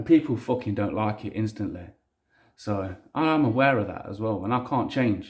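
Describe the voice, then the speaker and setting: On a very clean recording with a silent background, a somewhat breathy man with a strong Leicester accent speaks at a medium pitch and moderate pace with ordinary pitch variation. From Leicester, England. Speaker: hobbyist maker. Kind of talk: casual vlog. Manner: casual, frequent swearing, rambling.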